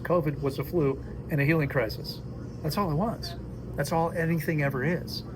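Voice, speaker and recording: A man speaks at a fairly quick pace. Audible room echo and noticeable background noise fill the recording. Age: 60s. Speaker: fasting and health coach. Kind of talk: casual dinner conversation. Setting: at a dinner table. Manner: animated.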